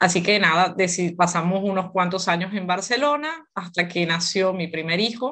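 At a moderate pace, a woman of medium pitch talks in a normal speaking voice. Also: very clean recording, silent background. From Venezuela. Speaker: gynecologist and author. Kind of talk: interview conversation.

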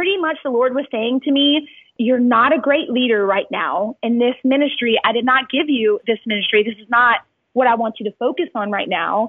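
A high-pitched woman's voice with ordinary pitch variation, moving at a moderate pace. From Louisiana (Cajun). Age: 30s. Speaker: women's ministry leader and speaker. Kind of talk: interview.

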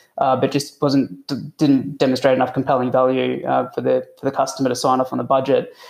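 The speaker talks at a fairly quick pace with an Australian accent and hardly any pauses. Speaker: IT consultant. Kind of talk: podcast interview.

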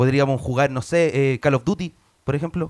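A man with a Chilean accent talks at a fairly quick pace and a fairly high pitch, the sound dry and close with no echo. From Chile, Puente Alto. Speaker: comedian. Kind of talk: casual chat; comedic debate.

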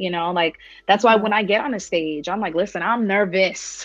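Here a woman with an American accent has an unremarkable speaking voice at medium pitch. She talks at a fairly quick pace with ordinary pitch variation. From New York. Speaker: women's community founder, speaker. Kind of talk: casual interview.

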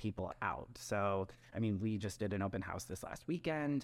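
An ordinary speaking voice from a man with an American accent, fairly low in pitch with ordinary variation, at a fairly quick pace on a very clean recording with a silent background. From Wisconsin. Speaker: real estate agent. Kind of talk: casual podcast chat about real estate.

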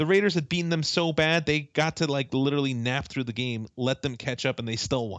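A normal speaking voice at a fairly quick pace, with hardly any pauses and ordinary pitch variation. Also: man, fairly high pitch for a man. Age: 30s. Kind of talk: casual chat.

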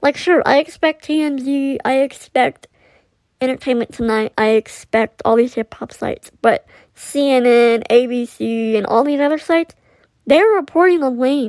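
At a fairly slow pace, a woman speaks in a high pitch with ordinary pitch variation, in a dry, close sound with no echo. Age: 20s. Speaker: podcast host. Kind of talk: solo monologue about hip hop history. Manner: hesitant, many fillers.

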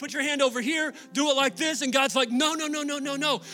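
Over background music, a man with an American accent talks in a raised, projected voice at a very fast pace, his animated tone pitched extremely high. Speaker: pastor. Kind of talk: sermon. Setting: church. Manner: casual and conversational, joking with the crowd.

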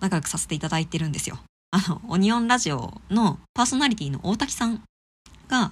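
A woman of medium pitch speaks very fast in a somewhat breathy voice. Her pitch swings very widely. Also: very clean recording, silent background. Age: 30s. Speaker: podcast host, art enthusiast. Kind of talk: casual solo podcast talk about an exhibition. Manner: casual, with many fillers.

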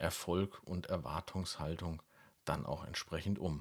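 In a very deep, low pitch, a man speaks at a fairly slow pace. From Lower Franconia, Germany (Karlstadt). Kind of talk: casual podcast conversation.

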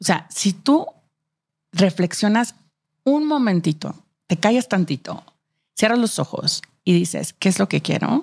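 Woman with a slight Monterrey accent, medium pitch, somewhat breathy, very wide pitch swings, fairly slow pace, long, frequent pauses, very clean recording, silent background. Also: very even loudness. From Monterrey, northern Mexico. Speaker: marketing executive, working mom. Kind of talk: casual interview chat. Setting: studio.

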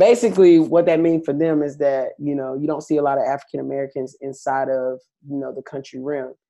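A man talks at a very fast pace in a dark, mellow tone, his fairly high pitch carrying ordinary variation. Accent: Southern US. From US South. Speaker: country singer. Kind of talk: interview.

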